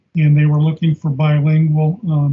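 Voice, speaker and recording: A man with an American accent talks at a fairly quick pace. His pitch sits fairly high. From US Midwest, Clinton, Iowa. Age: 70s. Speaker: retired sales manager, fraternal organization district deputy. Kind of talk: interview. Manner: halting, frequent fillers.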